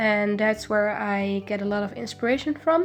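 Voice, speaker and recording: A woman speaks with a Dutch accent in a fairly high voice. Music plays in the background. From Netherlands. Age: 20s. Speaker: illustration student. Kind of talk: casual voiceover answering viewer questions.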